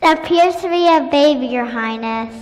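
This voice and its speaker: The high-pitched, put-on character voice moves at a moderate pace with a clear echo around it. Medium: stage play.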